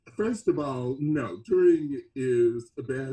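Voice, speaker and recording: Somewhat breathy and dark, mellow in tone, a man with an American accent speaks at a very slow pace. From US South, Mississippi. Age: 70s. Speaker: experimental band musician. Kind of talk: interview. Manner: halting.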